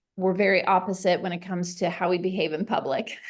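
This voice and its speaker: A woman at a moderate pace. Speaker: leadership webinar host. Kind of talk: casual chat. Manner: loud; animated.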